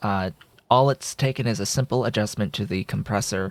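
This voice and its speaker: This man's fairly low voice shows ordinary pitch variation. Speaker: gaming YouTuber. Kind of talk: gameplay commentary. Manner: varies between very soft and very loud; hesitant, frequent filler words.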